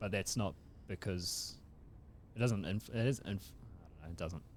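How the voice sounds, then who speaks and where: A man with a New Zealand accent speaks in a very deep, low pitch with ordinary pitch variation. He leaves long, frequent pauses. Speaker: comedy podcast co-host. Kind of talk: casual chat.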